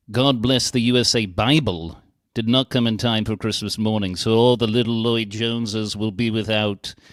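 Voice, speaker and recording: In a very clean recording with a silent background, a man with a Welsh accent speaks at medium pitch and a moderate pace with fairly even intonation. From Wales. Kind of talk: casual chat.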